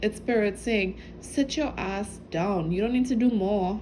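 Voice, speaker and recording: The voice is somewhat breathy, at a fairly slow pace. Intonation stays fairly even. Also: woman. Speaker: spiritual channel reader. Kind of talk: intuitive message reading. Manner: halting; casual.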